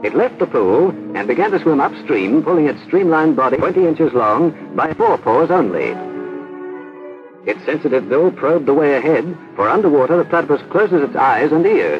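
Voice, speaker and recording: A man's fairly high voice with very wide pitch swings, very even loudness, and a fairly quick pace, with music in the background. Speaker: narrator. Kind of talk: educational documentary narration.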